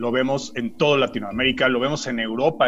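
Using a plain, everyday voice, a man speaks at a fairly quick pace with medium pitch and ordinary pitch variation. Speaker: podcast co-host. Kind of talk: casual chat.

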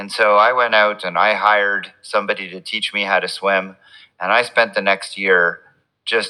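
A man speaks with a Canadian accent. His voice is fairly low, with a bright, sharp tone. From Quebec, Montreal. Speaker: physician and triathlon coach. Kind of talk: casual interview.

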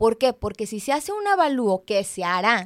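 In a very clean recording with a silent background and a dry, close sound with no echo, a woman with a plain, everyday voice speaks at a moderate pace and a fairly high pitch. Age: 30s. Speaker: radio host, mortgage specialist. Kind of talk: live radio talk show. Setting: radio studio.

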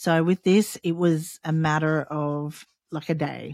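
A woman with an Australian accent, very deep and low in pitch, with fairly even intonation and a dry, close sound free of echo. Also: very clean recording, silent background. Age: 40s. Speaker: podcast host. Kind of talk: solo podcast monologue, personal storytelling. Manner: halting, hesitant with many fillers; casual, unpolished.

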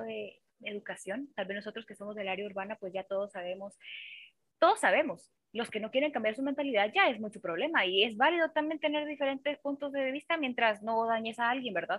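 A normal speaking voice moves at a fairly quick pace, with lively intonation and big swings in loudness. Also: woman. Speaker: podcast guest. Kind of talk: casual chat.

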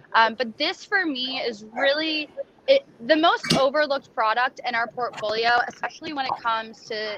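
In a high voice, a woman speaks at a moderate pace with lively intonation. Noticeable background noise is present. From Nashville, Tennessee. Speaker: bourbon brand ambassador. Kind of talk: casual interview.

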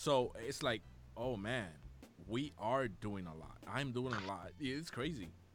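With a Spanish accent, a man speaks fairly slowly in a medium pitch with lively intonation and audible room echo. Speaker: podcast host. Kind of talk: casual interview. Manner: halting, many fillers.

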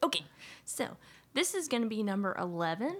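A woman's plain, everyday voice at medium pitch, delivered at a fairly quick pace. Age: 20s. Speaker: podcast co-host. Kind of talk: casual chat.

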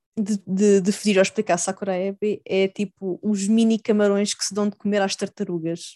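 A woman's medium-pitched, dark, mellow voice, monotone and flat, at a moderate pace with hardly any pauses, in a dry, close sound with no echo against a quiet background. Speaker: podcast co-host. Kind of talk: casual chat.

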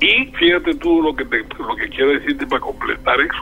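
Music plays behind a man speaking in a Colombian Caribbean accent. He talks at a moderate pace. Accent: Colombian Caribbean (costeño) Spanish. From Colombian Caribbean coast, Barranquilla. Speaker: criminal lawyer and former mayor. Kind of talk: interview. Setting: phone call.

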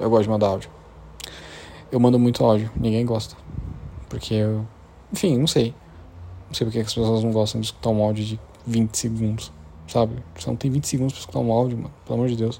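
A man with a medium-pitched voice speaks, leaving long, frequent pauses. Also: fairly even intonation. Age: 20s. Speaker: podcaster. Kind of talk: casual monologue.

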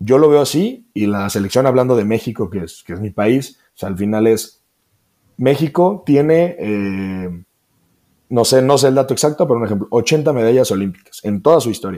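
A man's dark, mellow voice at medium pitch, with lively intonation and a moderate pace, on a very clean recording with a silent background. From Mexico, Celaya, Guanajuato. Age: 20s. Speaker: athlete. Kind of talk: interview conversation. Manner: halting.

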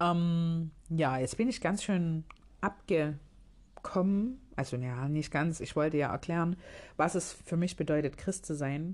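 A woman with a fairly low voice talks at a very slow pace, her pitch varying in an ordinary way. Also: very clean recording, silent background. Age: 30s. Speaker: podcast host. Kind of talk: casual monologue. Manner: halting.

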